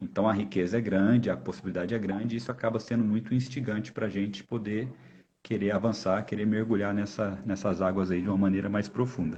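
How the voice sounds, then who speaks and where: Fairly quick and with fairly even intonation, the speech carries a dark, mellow tone. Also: man, fairly low pitch for a man. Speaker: volleyball coach and university lecturer. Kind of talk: live stream interview. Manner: fast; halting, repeated false starts.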